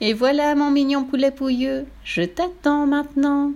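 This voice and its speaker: Cackling in a high-pitched, put-on character voice, a woman speaks at a fairly slow pace over light background noise. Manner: cackling, gloating.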